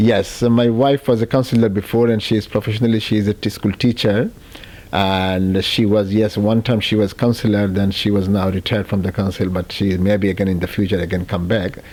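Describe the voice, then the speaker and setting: A man's fairly low voice at a fairly quick pace, fairly even in intonation and very even in loudness, over noticeable background noise. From Bangladesh. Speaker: local politician, mayor. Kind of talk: interview.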